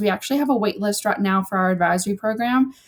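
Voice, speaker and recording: A fairly high-pitched woman with a Southern US accent, on a very clean recording with a silent background. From US South, South Georgia. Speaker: influencer manager. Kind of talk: interview.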